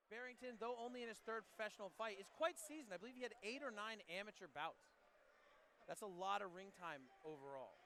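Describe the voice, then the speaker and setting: Excited and energetic, a man with a high pitch talks at a very fast pace in a raised, projected voice with lively intonation. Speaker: MMA commentator and analyst. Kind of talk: live MMA color commentary. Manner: excited, energetic broadcast delivery.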